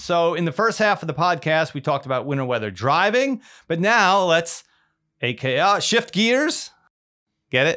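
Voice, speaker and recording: A man with an American accent, high pitch, lively intonation, a bright, sharp tone and a moderate pace, on a very clean recording with a silent background. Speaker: meteorologist podcast host. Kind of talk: casual chat.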